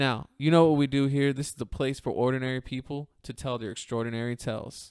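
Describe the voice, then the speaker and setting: Speaking very fast, this man holds a medium pitch and keeps his intonation fairly even. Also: dry, close sound with no echo. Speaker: podcast host. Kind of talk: podcast intro.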